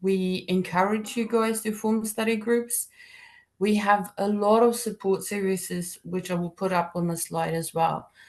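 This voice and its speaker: A woman at a moderate pace, in a South African accent. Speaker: accounting degree program leader. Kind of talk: webinar presentation. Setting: online webinar. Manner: informal, many fillers.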